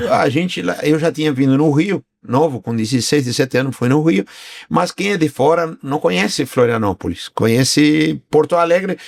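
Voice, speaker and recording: In a very clean recording with a silent background and a dry, close sound with no echo, a man with an unremarkable speaking voice talks at a moderate pace and fairly high pitch with lively intonation. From Argentina. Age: 60s. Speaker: business owner. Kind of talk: interview podcast.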